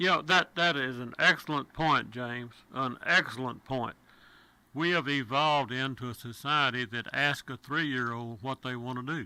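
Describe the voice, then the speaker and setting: A man with a Texan accent and a bright, sharp tone, ordinary pitch variation, on a very clean recording with a silent background. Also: medium pitch for a man, moderate pace. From Texas. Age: 70s. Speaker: radio talk show host. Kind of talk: talk radio.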